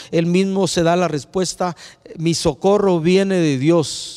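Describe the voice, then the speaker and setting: A man speaks in a high voice. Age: 60s. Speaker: preacher. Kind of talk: sermon. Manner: halting.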